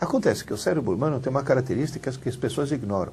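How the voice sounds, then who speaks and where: Lively intonation and a very fast pace come through over noticeable background noise. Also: man. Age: 60s. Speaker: university professor, educator. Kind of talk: interview.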